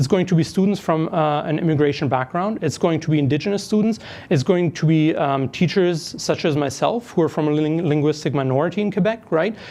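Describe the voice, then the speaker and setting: Speaking with a German accent, this man has a fairly high pitch and a dark, mellow tone. His pace is fairly quick, with ordinary pitch variation. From Germany. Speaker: part-time professor and union member. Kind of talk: podcast interview. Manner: hesitant, many fillers.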